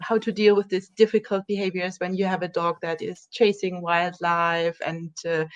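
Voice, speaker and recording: With a German accent, a woman speaks at a moderate pace with hardly any pauses, her medium pitch held in a monotone, flat intonation against a quiet background. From Germany. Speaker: dog trainer. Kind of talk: interview.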